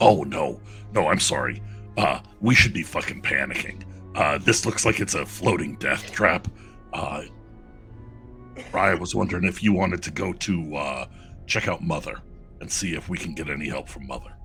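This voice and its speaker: In a raspy put-on character voice with very deep, low pitch, a man speaks at a moderate pace over clear music in the background. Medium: actual play. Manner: suspicious, blunt.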